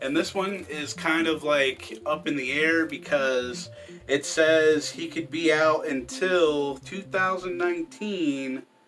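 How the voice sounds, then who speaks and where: A quiet, fairly high-pitched man at a fairly slow pace, with lively intonation. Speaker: wrestling news youtuber. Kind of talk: casual news commentary. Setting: at home late at night. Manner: quiet, held down so others can sleep; rambling, mumbling, many fillers.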